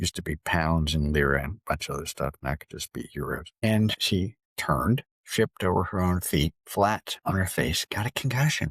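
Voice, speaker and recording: A man's very deep, low voice with vocal fry and lively intonation, at a moderate pace, in a dry, close, echo-free and very clean recording over a silent background. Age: 70s. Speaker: financial planner. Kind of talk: casual monologue.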